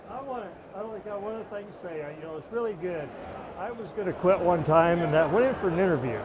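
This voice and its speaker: Speaking at a fairly quick pace, a man with a high voice uses ordinary pitch variation, with audible room echo and noticeable background noise. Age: 70s. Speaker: truck driver. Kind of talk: casual chat. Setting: trade show event.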